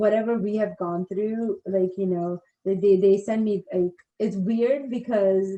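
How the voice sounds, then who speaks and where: A woman's dark, mellow tone with a non-native accent, fairly even intonation and a fairly slow pace. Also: medium pitch for a woman. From India. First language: not English. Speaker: navy service member in transition. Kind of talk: casual interview.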